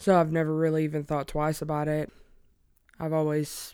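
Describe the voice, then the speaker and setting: On a very clean recording with a silent background, a woman with an Alabama accent speaks in a fairly low pitch with a dark, mellow tone and monotone, flat intonation. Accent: Southern US (Alabama). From US South, small-town Alabama. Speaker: podcast guest, spouse of person in recovery. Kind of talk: casual interview chat.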